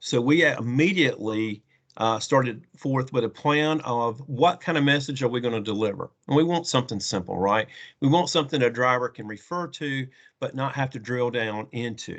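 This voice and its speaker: Man with a slight Southern US accent, medium pitch and ordinary pitch variation against a quiet background. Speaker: trucking technology company representative. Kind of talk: conference presentation.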